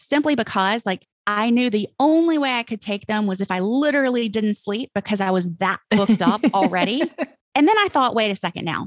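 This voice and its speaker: With a Mississippi accent, a woman talks at a fairly quick pace and fairly high pitch with lively intonation, her voice dry and close with no echo against a quiet background. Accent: Southern US, Mississippi. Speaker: copywriter, former attorney. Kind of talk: interview answer.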